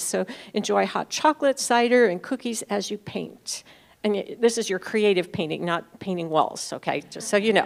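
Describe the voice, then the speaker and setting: An unremarkable speaking voice moves at a moderate pace with ordinary pitch variation, recorded very cleanly against a silent background. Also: woman. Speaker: church announcements speaker. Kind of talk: church announcements.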